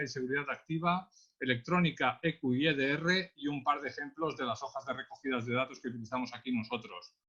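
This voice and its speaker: Talking at a very fast pace, a man with a Catalan accent has a fairly high pitch and ordinary pitch variation. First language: Catalan (speaking Spanish). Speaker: traffic police accident investigator. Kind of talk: webinar presentation. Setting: online webinar.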